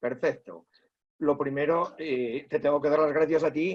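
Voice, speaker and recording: This man's voice sits at a fairly high pitch. He speaks at a fairly slow pace. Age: 60s. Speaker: teacher. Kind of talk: interview testimony. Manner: halting, many fillers.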